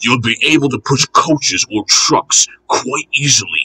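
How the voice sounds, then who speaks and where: Growling at a fairly high pitch, a man puts on a character voice at a moderate pace, recorded with a dry, close sound and no echo. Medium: read story.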